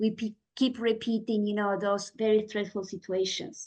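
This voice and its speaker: A woman's voice with a non-native accent. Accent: foreign accent, noticeable. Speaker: guest speaker in meditation book group. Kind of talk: book discussion talk. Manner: deliberately slow; many fillers, says right? often.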